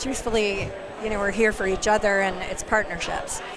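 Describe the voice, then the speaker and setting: A woman's medium-pitched voice at a fairly quick pace, with audible room echo and noticeable background noise. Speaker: nonprofit foundation representative. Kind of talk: casual interview. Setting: live event, noisy venue.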